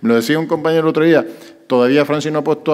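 Little sound surrounds the speaker. He is a man. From Canary Islands. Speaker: mayor. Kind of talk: press conference. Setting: press conference with journalists. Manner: hesitant, many fillers. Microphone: podium.

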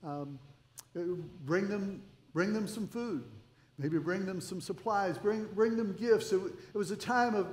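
A man with a high voice speaks at a fairly slow pace with ordinary pitch variation, and the room echo is audible. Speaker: pastor. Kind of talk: sermon. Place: church. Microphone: headset.

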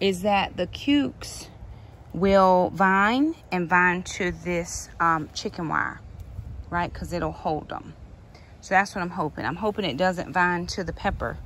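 A woman talks at a fairly slow pace in an ordinary speaking voice with ordinary pitch variation, on a dry recording with no echo and light background noise. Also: fairly low pitch for a woman. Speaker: home gardener vlogger. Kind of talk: casual vlog chat. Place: garden. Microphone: phone near.

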